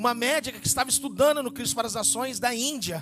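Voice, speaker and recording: At a very fast pace and an extremely high pitch, a man speaks with fairly even intonation over noticeable background noise. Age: 40s. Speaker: pastor. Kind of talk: sermon testimony.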